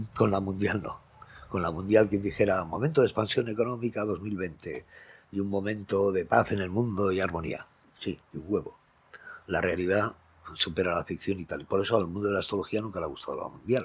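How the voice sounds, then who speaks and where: Moving at a fairly quick pace, a man talks in a fairly low pitch. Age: 60s. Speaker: astrologer. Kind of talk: casual monologue. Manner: animated.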